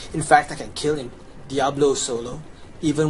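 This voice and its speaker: Amid noticeable background noise, a man with a Chinese accent speaks fairly quickly in a fairly high, monotone, flat voice. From China. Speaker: gamer. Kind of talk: video game walkthrough. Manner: casual.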